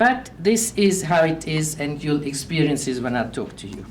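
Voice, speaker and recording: Audible room echo surrounds a woman's voice. Her pitch swings very widely. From Vienna, Austria. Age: 70s. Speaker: Holocaust-era survivor sharing life story. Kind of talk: life story talk, partly read aloud. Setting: community event with audience.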